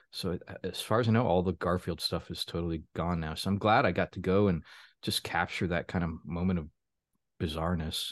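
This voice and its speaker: Over a quiet background, a man with a very deep, low pitch talks at a fairly quick pace with fairly even intonation. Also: dry, close sound with no echo. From Florida. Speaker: author and publisher. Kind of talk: casual interview.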